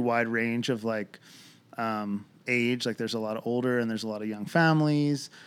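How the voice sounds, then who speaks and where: A man with an American accent speaks at a medium pitch in a normal speaking voice, with fairly even intonation, on a very clean recording with a silent background. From Lancaster, Pennsylvania. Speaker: coffee shop owner. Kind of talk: casual interview. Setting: living room.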